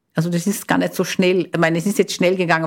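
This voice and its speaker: A woman's fairly low voice with vocal fry and ordinary pitch variation, on a very clean recording with a silent background. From Brazil. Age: 60s. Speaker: retired biochemist. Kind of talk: interview. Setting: studio.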